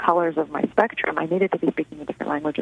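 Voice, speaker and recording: A woman with a Russian accent speaks at a fairly low pitch with fairly even intonation. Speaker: author. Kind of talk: radio interview. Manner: halting.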